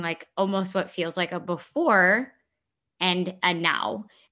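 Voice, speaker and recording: In a very clean recording with a silent background, a woman with a bright, sharp tone and medium pitch speaks at a very slow pace. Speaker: podcast co-host. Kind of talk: casual conversational podcast chat. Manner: laughs often, chatty.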